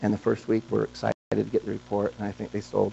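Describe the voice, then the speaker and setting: A man with an American accent, a fairly low pitch and vocal fry, over light background noise. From Montana. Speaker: entrepreneur, company co-founder; guest. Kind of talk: guest lecture to students. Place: classroom.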